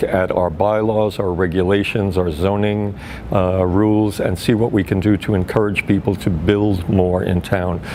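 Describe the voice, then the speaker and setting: Speaking fairly slowly with an American accent, a man with fairly low pitch is heard over noticeable background noise. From US, New York (Brooklyn). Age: 60s. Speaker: political candidate. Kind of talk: interview.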